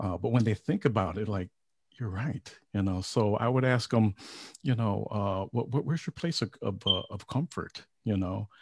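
A man's fairly low, somewhat breathy voice at a moderate pace, with ordinary pitch variation and a dry, close sound with no echo. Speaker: psychiatric nurse and veteran. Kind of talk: casual interview chat. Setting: online video show. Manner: hesitant, repeats words.

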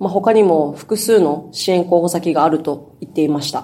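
A woman talks at a moderate pace in a fairly low voice with a dark, mellow tone. Her pitch varies in an ordinary way. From Okinawa, northern main island (Nago). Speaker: newspaper reporter. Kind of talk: news discussion.

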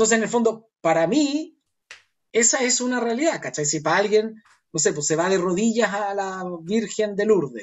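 A high-pitched man with a Chilean accent, lively intonation and a moderate pace. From northern Chile, Chuquicamata. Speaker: performing arts company founder. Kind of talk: casual interview conversation. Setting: remote call from home. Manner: halting, repeats words.

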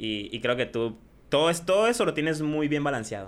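This man speaks with a fairly high pitch. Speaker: streamer and YouTuber. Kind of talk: casual chat. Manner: loud.

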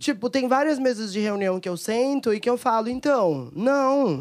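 This woman's high-pitched voice moves along at a fairly slow pace, its intonation lively. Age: 30s. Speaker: singer. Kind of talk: panel discussion.

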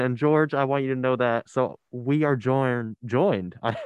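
A man with an American accent, his tone animated and upbeat. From US, New Jersey (Ocean County). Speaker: radio host. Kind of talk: radio dj patter. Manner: animated, upbeat, joking.

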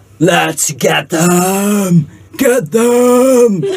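A put-on character voice at a middle pitch. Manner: shouting, aggressive.

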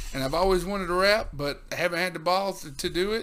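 The bright, sharp voice carries a Southern US accent on a very clean recording with a silent background. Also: man. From US South. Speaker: podcast host. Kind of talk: casual chat.

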